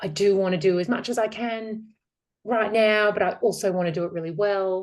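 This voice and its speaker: A woman with an Australian accent talks fairly slowly in fairly even intonation. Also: quiet background. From Australia, north Queensland (Townsville). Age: 40s. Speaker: metabolic therapy practitioner. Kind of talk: interview conversation.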